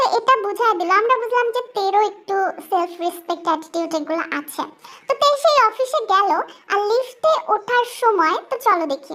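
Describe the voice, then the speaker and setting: A woman talks at a moderate pace in an extremely high, squeaky voice. Her intonation is lively. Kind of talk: informal fan dub narration. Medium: read story. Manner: chatty, addresses audience.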